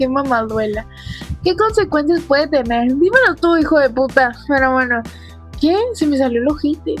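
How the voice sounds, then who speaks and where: With music in the background, a woman speaks at a high pitch with lively intonation and very even loudness. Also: moderate pace. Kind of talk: casual solo podcast talk. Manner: casual, frequent swearing.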